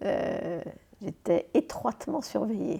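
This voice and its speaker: A woman speaks at a very slow pace. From France (Paris), Martinique béké family. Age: 80s+. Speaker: interview guest, memoir writer. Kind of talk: interview. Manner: lively.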